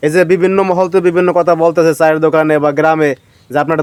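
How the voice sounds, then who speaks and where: A man's fairly high-pitched voice, a normal speaking voice, with fairly even intonation. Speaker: village news video reporter. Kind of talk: street interview.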